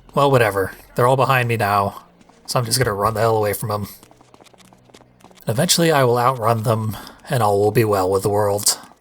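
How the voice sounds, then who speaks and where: Against noticeable background noise, a man talks at a fairly quick pace in a medium pitch with ordinary pitch variation and long, frequent pauses. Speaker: gaming commentator. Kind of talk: video game commentary.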